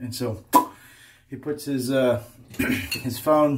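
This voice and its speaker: In an American accent, a man talks at medium pitch with fairly even intonation. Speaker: shaving video creator. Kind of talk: casual vlog chat. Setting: home bathroom.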